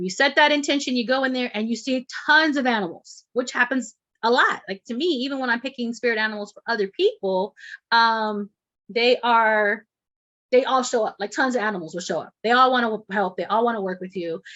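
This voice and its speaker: A woman speaks with an El Paso accent at a fairly high pitch. Her pitch rises and falls in an ordinary way. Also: fairly quick pace. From Texas, El Paso. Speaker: shamanic healer and instructor. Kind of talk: online class. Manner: fast.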